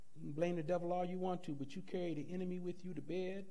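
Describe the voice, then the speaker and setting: Here a man speaks with a high pitch. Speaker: pastor. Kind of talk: Bible class teaching, with sermon-like preaching. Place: church. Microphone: podium.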